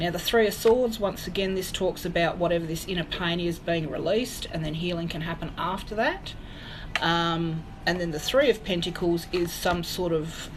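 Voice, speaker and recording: Over noticeable background noise and audible room echo, a woman with a fairly low pitch talks at a moderate pace with an Australian accent. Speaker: psychic medium. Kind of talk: tarot reading livestream. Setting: live stream.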